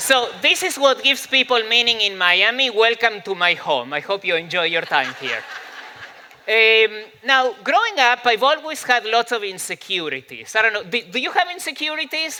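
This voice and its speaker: A man's raised, projected voice, extremely high in pitch with very wide pitch swings and a Spanish accent, at a moderate pace over noticeable background noise. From Argentina. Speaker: psychology professor and speaker. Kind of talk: talk to a live audience. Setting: stage with audience. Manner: humorous, conversational with fillers.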